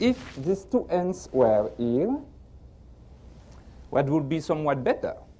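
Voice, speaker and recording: A man speaks at a fairly slow pace with a French accent. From France. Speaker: magician. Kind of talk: magic performance patter.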